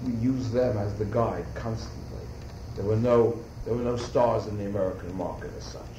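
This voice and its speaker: Over noticeable background noise, a man with a New York accent speaks at a fairly low pitch and a moderate pace, keeping his intonation fairly even. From New York City. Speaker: fashion designer. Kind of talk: interview answer. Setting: audio recording, 1985.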